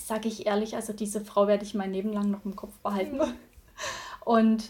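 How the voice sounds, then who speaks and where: Here a woman talks. Her voice comes across somewhat breathy. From Thuringia, Germany. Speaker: virtual assistant. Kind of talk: casual interview.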